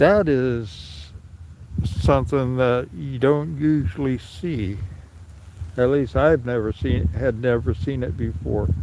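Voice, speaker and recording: A man with an American accent speaks at a very slow pace. His medium-pitched voice swings very widely in pitch. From California (Sacramento). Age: 60s. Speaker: livestreamer. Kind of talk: live stream walkaround commentary. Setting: outdoors in snow. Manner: halting, many fillers.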